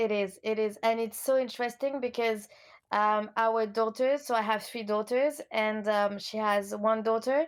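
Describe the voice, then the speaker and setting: In a French accent, a woman speaks at a moderate pace and fairly high pitch with fairly even intonation, in a very clean recording with a silent background. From France, Lyon. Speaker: coach. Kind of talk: interview.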